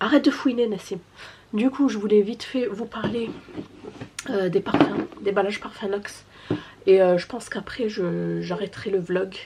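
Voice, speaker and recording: At a moderate pace and medium pitch, a woman speaks with ordinary pitch variation amid noticeable background noise. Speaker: family vlogger. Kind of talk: sales pitch; casual vlog. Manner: soft-spoken; hesitant.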